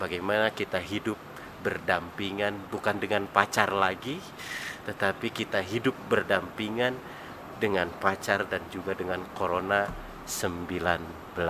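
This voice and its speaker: A man's fairly low voice at a fairly slow pace, with fairly even intonation and noticeable background noise. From Tasikmalaya, West Java, Indonesia. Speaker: regional legislator. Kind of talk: podcast interview.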